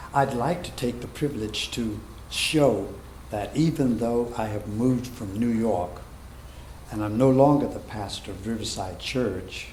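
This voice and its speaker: Intonation is lively and the pace fairly slow, with audible room echo. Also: man. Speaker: pastor. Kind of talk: sermon. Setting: church.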